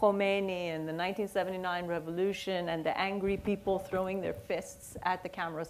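A woman speaks at a moderate pace with hardly any pauses. Her intonation is monotone and flat over light background noise. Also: medium pitch for a woman. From Iran. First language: Persian. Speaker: author and poet; poet. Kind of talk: onstage conversation. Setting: stage with audience. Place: stage.

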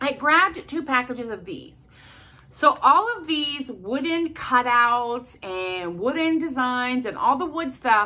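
At a fairly slow pace, a woman speaks in a raised, projected voice with lively intonation. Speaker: haul vlogger. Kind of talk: casual vlog chat. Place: home room. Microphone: phone near.

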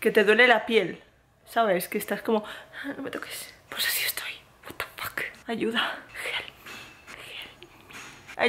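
Someone whispers at a very slow pace. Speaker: vlogger. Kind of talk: casual vlog chat. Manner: drained, pleading sick voice. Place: home room. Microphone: phone near.

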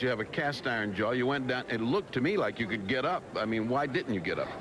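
Clear background noise accompanies speech at a fast pace with lively intonation. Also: man, medium pitch for a man.

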